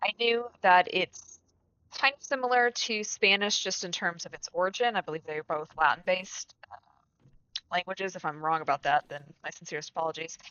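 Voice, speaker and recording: A woman with a Midwestern US accent talks fairly quickly at a medium pitch, her intonation lively and her loudness swinging widely. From US Midwest. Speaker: gaming streamer. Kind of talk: casual chat. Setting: live stream. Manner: casual, filler-heavy.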